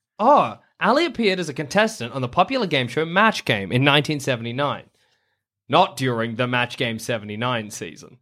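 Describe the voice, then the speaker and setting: On a very clean recording with a silent background, a man with an Australian accent speaks at a moderate pace in a bright, sharp tone with very wide pitch swings. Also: medium pitch for a man. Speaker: podcast host. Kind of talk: casual comedic chat.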